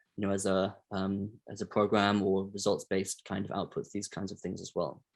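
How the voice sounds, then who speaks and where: Fairly quick, fairly low-pitched male speech with monotone, flat intonation over a quiet background. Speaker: technical advisor presenting a session. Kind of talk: online meeting discussion. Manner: hesitant, many fillers.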